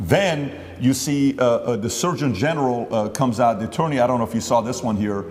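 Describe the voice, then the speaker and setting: A man's medium-pitched voice with an American accent and lively intonation, at a fairly quick pace over music in the background. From Glendale, California. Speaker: interviewer, businessman. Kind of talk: interview.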